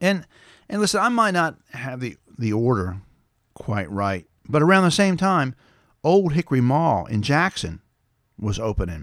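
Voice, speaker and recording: Over a very clean recording with a silent background, a man speaks at a moderate pace and a fairly high pitch for a man. His pitch swings very widely, broken by long, frequent pauses. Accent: Tennessee. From West Tennessee, US South. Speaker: podcast host and storyteller. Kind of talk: nostalgic storytelling monologue. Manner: casual, folksy.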